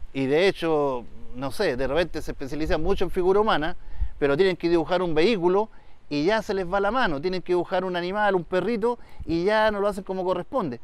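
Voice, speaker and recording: Very fast speech with ordinary pitch variation, dry with no echo. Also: man, high pitch for a man. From Chile, Valparaíso region (Quilpué); Valparaíso region, Chile. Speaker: illustrator and writer; interviewee. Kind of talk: interview. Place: open country.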